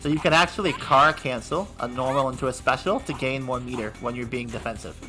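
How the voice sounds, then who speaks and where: Over music in the background, a man speaks at a medium pitch and a very fast pace with ordinary pitch variation. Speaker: fighting game commentator. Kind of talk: esports commentary. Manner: excited, upbeat.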